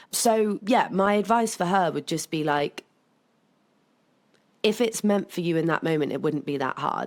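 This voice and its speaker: The speaker uses a strong West Country accent and lively intonation at a moderate pace, on a very clean recording with a silent background. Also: woman. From England, South Somerset. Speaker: podcast guest, club co-founder. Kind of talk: casual chat. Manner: gets louder when passionate.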